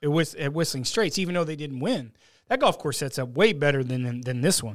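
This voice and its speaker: On a very clean recording with a silent background, a man speaks in a normal speaking voice, fairly high-pitched, at a fairly quick pace with lively intonation. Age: 20s. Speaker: golf analyst and handicapper. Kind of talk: casual sports talk. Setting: studio.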